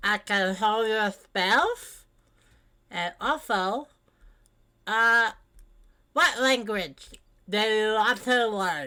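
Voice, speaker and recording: A put-on, female-sounding character voice with a cheerful tone and a fairly high pitch moves at a very slow pace, with long, frequent pauses, in a very clean recording with a silent background. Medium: actual play. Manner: cheerful, chatty.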